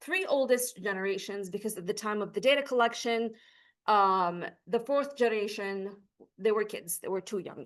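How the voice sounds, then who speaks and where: Over a quiet background, a woman with an Arabic accent speaks at a moderate pace with lively intonation. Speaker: PhD researcher. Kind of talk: academic conference presentation. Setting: lecture hall, recorded on Zoom.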